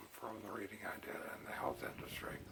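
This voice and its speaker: There is a man whispering. Noticeable background noise and audible room echo surround him. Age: 70s. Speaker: retired engineer and retirement vlogger. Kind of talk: casual vlog monologue. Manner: halting, many fillers.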